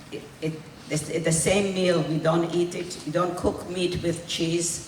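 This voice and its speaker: A woman speaks very slowly in a fairly low, monotone voice with flat intonation. The room echo is audible, and there is noticeable background noise. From Hungary, raised in Israel. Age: 80s+. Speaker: Holocaust survivor speaker. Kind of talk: testimony. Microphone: held too far from mouth.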